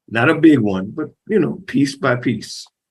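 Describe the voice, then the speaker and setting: Very slowly, a man speaks at medium pitch in a somewhat breathy voice. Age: 70s. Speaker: community panelist. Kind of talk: panel discussion.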